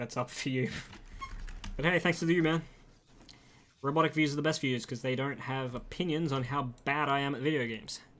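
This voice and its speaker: Speaking with an Australian accent, a man talks at a fairly quick pace. His intonation is fairly even, with long, frequent pauses. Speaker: gaming streamer. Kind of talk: casual livestream chat while gaming. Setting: live stream.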